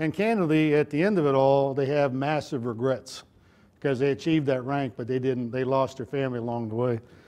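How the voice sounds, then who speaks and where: A man with a Texan accent talks at a fairly quick pace in a dark, mellow tone. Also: medium pitch for a man, ordinary pitch variation. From Texas. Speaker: retired army general, leadership speaker. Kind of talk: motivational talk. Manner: conversational, folksy.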